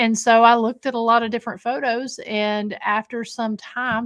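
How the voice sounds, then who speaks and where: A woman with an Appalachian accent at a moderate pace, on a very clean recording with a silent background. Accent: southern Appalachian US. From Scott County, Tennessee (Appalachia). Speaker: paranormal investigator and historic jail co-owner. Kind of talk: podcast interview. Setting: haunted location.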